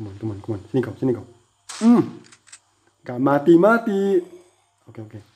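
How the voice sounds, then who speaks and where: Very fast speech in a Malaysian accent, broken by long, frequent pauses. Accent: non-native Indonesian, Malaysian-sounding. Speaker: gaming youtuber. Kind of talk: gameplay commentary. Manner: animated.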